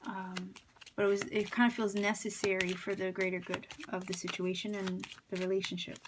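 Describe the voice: A woman speaks at a medium pitch with little pitch movement and a slightly husky edge. Her pace is moderate.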